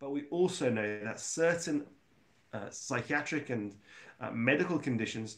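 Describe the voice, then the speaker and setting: The man's pitch varies in an ordinary way as he talks at a moderate pace. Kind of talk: lecture. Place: home room. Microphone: lapel.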